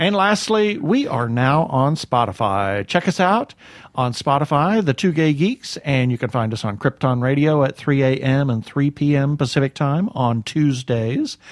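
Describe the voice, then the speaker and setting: In a normal speaking voice, a man with a fairly high pitch talks at a fairly slow pace with hardly any pauses, lively intonation and very even loudness, recorded with a dry, close sound and no echo. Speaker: podcast host. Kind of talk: casual interview chat. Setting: studio.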